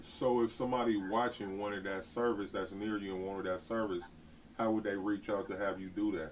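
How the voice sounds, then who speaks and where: A normal speaking voice from a man, fairly low in pitch, at a fairly quick pace with fairly even intonation. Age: 40s. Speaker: YouTube host, t-shirt maker. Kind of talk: interview. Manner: casual, laid-back.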